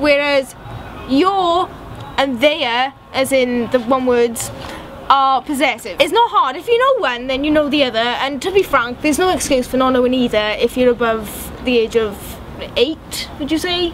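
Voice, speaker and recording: Over noticeable background noise, a high-pitched woman talks at a moderate pace with ordinary pitch variation. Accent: strong Welsh. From Wales. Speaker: vlogger. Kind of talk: casual chat. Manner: animated.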